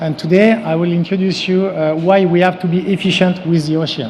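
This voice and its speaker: There is noticeable background noise and audible room echo. A man speaks in a high voice at a moderate pace, with fairly even intonation. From France. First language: French. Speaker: company CEO and former sailing champion. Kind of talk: conference presentation. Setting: stage with audience. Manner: halting, with frequent fillers.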